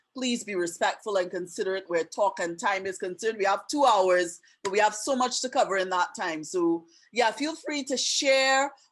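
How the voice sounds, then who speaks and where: Lively intonation carries this voice with an American accent. The pace is moderate. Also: woman. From Trinidad and Tobago. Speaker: webinar host and teacher. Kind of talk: webinar presentation. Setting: video call.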